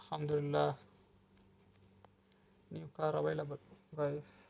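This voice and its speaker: This man's voice sits fairly high in pitch. His intonation is monotone and flat. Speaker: mobile gamer. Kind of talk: casual gameplay commentary.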